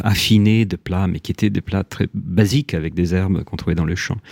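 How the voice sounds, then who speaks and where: A man speaks in a very deep, low pitch with a dark, mellow tone and ordinary pitch variation. The sound is dry and close, with no echo. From Italy, Rome. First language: Italian (speaking French). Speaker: writer. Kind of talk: interview. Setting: radio studio. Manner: halting, many repetitions.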